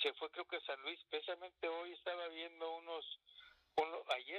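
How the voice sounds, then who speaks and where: A man with a high pitch speaks at a moderate pace, his intonation fairly even. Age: 50s. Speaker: retired footballer. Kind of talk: casual interview. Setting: phone call.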